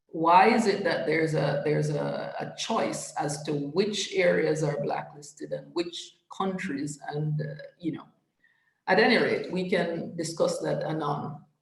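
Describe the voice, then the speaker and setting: With audible room echo, a woman talks at a fairly slow pace. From Caribbean. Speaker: trade policy expert, panel speaker. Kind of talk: panel presentation.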